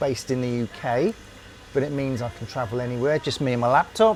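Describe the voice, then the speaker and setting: With noticeable background noise behind him, a man of medium pitch talks at a fairly quick pace with ordinary pitch variation. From UK. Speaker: former RAF engineer. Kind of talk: interview answer.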